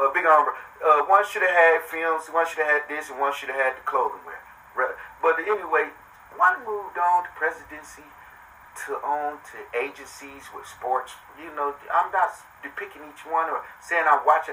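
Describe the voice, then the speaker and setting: Over noticeable background noise, a man talks at a moderate pace with a fairly high pitch, ordinary pitch variation and big swings in loudness. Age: 40s. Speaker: podcast host. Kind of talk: casual monologue. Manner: animated.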